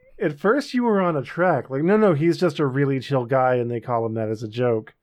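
This man has an unremarkable speaking voice, medium in pitch, and he talks at a fairly quick pace. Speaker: podcast host. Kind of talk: casual banter.

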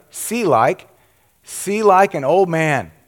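A man talks at a high pitch. His pace is very slow. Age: old. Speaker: pastor. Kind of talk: sermon. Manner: animated.

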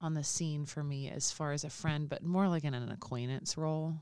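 On a very clean recording with a silent background, a woman with an American accent talks at a moderate pace in a very deep, low pitch with ordinary pitch variation. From Alabama, US. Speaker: podcast co-host. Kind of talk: casual chat.

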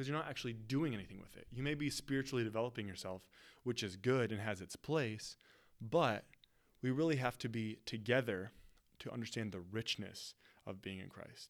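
On a very clean recording with a silent background, a man with an American accent talks in a plain, everyday voice at medium pitch and a fairly quick pace, with ordinary pitch variation and big swings in loudness. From West Michigan, US. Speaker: pastor. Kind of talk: podcast teaching monologue. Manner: casual, conversational.

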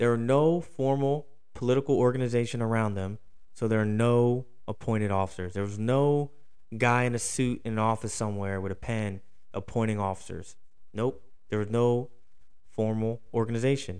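A man with a medium pitch talks in an animated tone. His pace is moderate and his pitch variation ordinary. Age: 30s. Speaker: history podcast host. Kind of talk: casual monologue.

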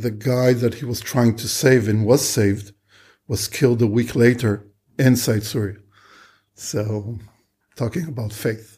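Somewhat breathy and dark, mellow in tone, a man at medium pitch speaks at a fairly slow pace with fairly even intonation and long, frequent pauses. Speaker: war veteran. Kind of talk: interview testimony.

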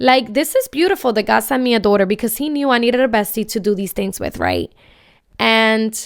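This is an ordinary speaking voice from a woman, fairly high in pitch with ordinary pitch variation. She talks at a moderate pace on a very clean recording with a silent background. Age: 20s. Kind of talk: personal storytelling monologue. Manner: casual with many filler ums.

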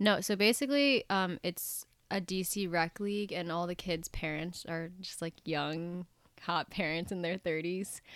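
Recorded very cleanly against a silent background, a woman with a normal speaking voice talks at a fairly slow pace, her fairly low pitch showing ordinary variation. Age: 20s. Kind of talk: casual chat. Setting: in person.

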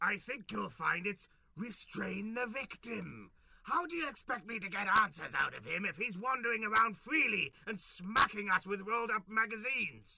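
Moderate pace and high pitch from a man doing a put-on character voice. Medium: comedy sketch. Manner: grandiose, commanding, theatrical.

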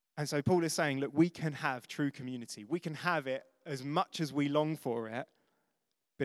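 The recording is very clean, with a silent background and a dry, close sound with no echo. A man with an ordinary speaking voice talks at a medium pitch with ordinary pitch variation. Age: 30s. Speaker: pastor. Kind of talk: sermon.

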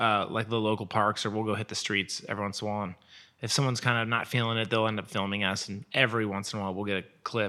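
A man talks at a very fast pace with an American accent. His fairly low voice has a bright, sharp tone. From Portland, Oregon, US Pacific Northwest. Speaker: photographer. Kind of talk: casual chat.

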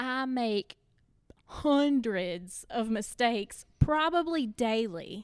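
Heard in a dry, close recording with no echo, a woman speaks at a very slow pace in a high pitch with very wide pitch swings. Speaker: church member and parent. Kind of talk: casual chat.

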